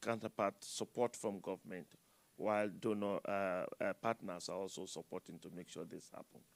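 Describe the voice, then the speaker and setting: The sound is dry and close, with no echo. Pitch varies in an ordinary way at a moderate pace. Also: man. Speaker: climate services expert from international agency. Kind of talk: panel discussion. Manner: halting.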